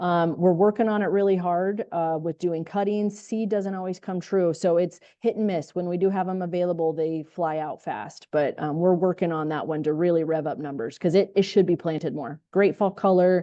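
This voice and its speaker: This woman has a plain, everyday voice with fairly low pitch, moderate pace, ordinary pitch variation and hardly any pauses. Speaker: tree nursery grower. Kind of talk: panel discussion.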